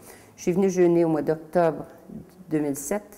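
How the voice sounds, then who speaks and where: This woman has a fairly low pitch and a dark, mellow tone, in a Quebec accent. She talks at a moderate pace with fairly even intonation. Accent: Québécois French. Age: 60s. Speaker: testimonial client. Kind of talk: testimony. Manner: halting.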